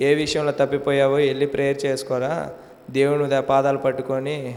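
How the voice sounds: A man's medium-pitched, slightly mellow voice at a moderate pace.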